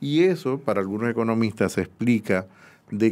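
A male speaker with ordinary movement in pitch. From Dominican Republic. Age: 50s. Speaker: economist; guest. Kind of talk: interview. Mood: calm, explanatory. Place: studio. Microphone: studio mic.

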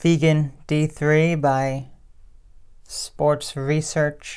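A woman's very deep, low voice in a monotone, flat delivery. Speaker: vegan health vlogger. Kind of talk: casual video monologue answering viewer comments. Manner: chatty, repeats words and self-corrects. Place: home room. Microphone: phone near.

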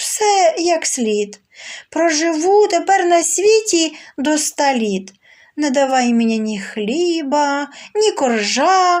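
A woman's put-on character voice, extremely high in pitch, with very wide pitch swings and a very slow pace. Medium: read story. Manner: bragging, self-assured.

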